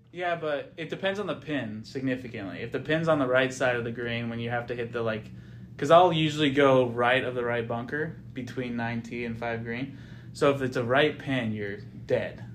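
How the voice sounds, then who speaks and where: A man with an American accent speaks at medium pitch and a moderate pace, with ordinary pitch variation. There is audible room echo. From US Pacific Northwest, Edgewood, Washington. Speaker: amateur golfer, club champion. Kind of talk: casual interview.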